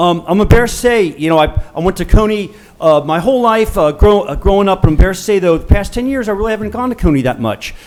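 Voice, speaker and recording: With an American accent, a man speaks high-pitched at a very fast pace with hardly any pauses. His intonation is lively over noticeable background noise. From US Midwest, Cincinnati east side. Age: 60s. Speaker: pediatrician, public commenter. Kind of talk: public comment. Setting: public meeting with audience. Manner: halting.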